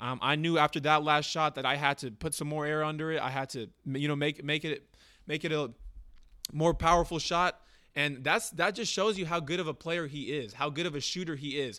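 A man talks fairly quickly in an ordinary speaking voice, his pitch varying in an ordinary way, captured in a very clean recording with a silent background. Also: fairly high pitch for a man. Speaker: sports podcast host. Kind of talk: casual sports talk. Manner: casual, bantering.

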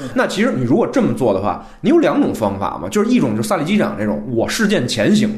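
Very wide pitch swings at a very fast pace, with noticeable background noise and audible room echo. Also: man. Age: young. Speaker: screenwriter, film podcast guest. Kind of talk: casual film review discussion.

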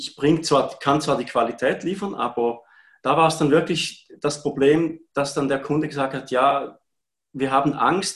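This man has an unremarkable speaking voice, fairly high in pitch, with fairly even intonation and a fairly slow pace. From Switzerland, Appenzell. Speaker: part-time photographer. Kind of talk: live-streamed interview.

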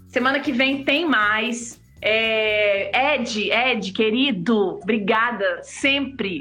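The voice has a bright, sharp tone with ordinary pitch variation. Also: woman. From Blumenau, Santa Catarina, Brazil. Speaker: artist and live show co-host. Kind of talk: casual live-stream chat. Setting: live video stream.

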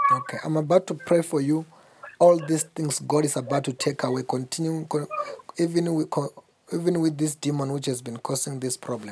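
The voice carries an intense tone at a fairly quick pace. Noticeable background noise sits behind it. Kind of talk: fervent deliverance prayer over a caller, rebuking demons. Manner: commanding, forceful, loud and intense, praying with authority.

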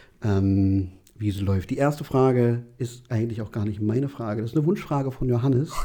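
The man's tone is dark and mellow, with lively intonation. He speaks at a moderate pace. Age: 30s. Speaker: podcast host. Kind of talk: casual chat.

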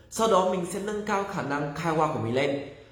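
Lively intonation carries the speech at a moderate pace, with audible room echo and noticeable background noise. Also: man. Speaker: Japanese language teacher and centre director. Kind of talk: livestream talk.

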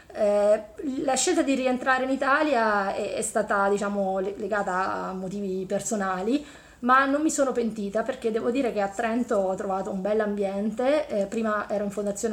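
Against noticeable background noise, a woman speaks fairly quickly at a fairly high pitch with ordinary pitch variation. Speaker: engineering professor. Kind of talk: interview.

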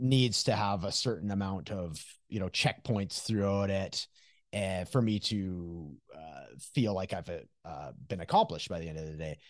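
A man with a Canadian accent has a plain, everyday voice, speaking at a moderate pace with ordinary pitch variation. His loudness swings a lot over a quiet background. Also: fairly low pitch for a man. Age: 40s. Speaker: recovery coach. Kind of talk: casual interview conversation.

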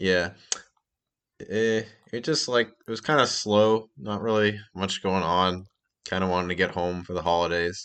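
A man with a very deep, low pitch and an American accent, at a moderate pace with ordinary pitch variation, long, frequent pauses and a quiet background. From Massachusetts. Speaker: podcast co-host. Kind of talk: casual chat.

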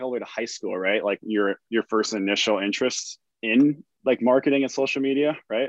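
A man speaks at a fairly quick pace in an unremarkable speaking voice. His pitch is medium, with ordinary variation. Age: 20s. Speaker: podcast host. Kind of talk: casual interview.

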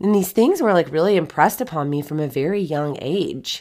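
A woman's fairly low voice with lively intonation and an animated tone, at a moderate pace, on a very clean recording with a silent background. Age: 40s. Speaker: podcast host. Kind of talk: motivational talk. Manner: casual, animated.

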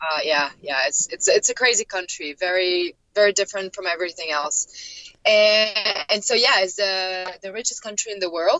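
A woman speaks with a French accent at a medium pitch. Her pitch variation is ordinary. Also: moderate pace. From France, Paris. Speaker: expat traveler. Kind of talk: interview. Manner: hesitant, many fillers.

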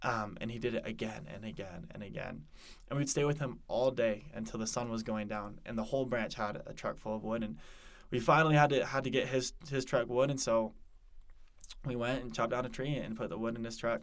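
Speaking fairly quickly in a normal speaking voice, a man with an American accent keeps a medium pitch and ordinary pitch variation. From Colorado, Denver area. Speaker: returned missionary, university student. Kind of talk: interview, personal testimony.

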